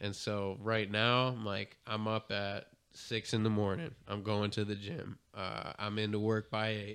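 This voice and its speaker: A man talks at a fairly slow pace in a fairly low pitch, with hardly any pauses. His intonation is monotone and flat, against a quiet background. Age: 30s. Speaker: podcast co-host. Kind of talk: casual chat. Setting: studio.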